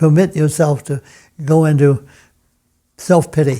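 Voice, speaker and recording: At a fairly slow pace, a man speaks fairly high for his sex, with a dark, mellow tone and ordinary pitch variation. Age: 90s. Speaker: retired piano professor and pianist. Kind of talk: interview. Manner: halting, frequent repetitions.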